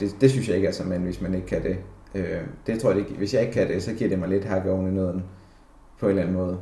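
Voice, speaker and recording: Very deep and low in pitch, a man's somewhat breathy voice with a dark, mellow tone and fairly even intonation rushes at a very fast pace amid audible room echo. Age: 20s. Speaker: office worker. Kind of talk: personal reflection interview. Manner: halting, many fillers.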